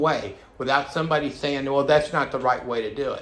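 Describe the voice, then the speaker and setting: Audible room echo carries a man's fairly high-pitched voice. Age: 60s. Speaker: vlogger. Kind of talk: personal monologue vlog. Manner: halting, many fillers and restarts; agitated.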